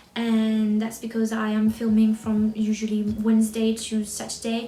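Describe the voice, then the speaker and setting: Noticeable background noise sits under a woman's voice. She speaks at a fairly high pitch in a flat monotone. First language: French. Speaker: book vlogger. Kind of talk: casual vlog chat. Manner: halting, with fillers and restarts.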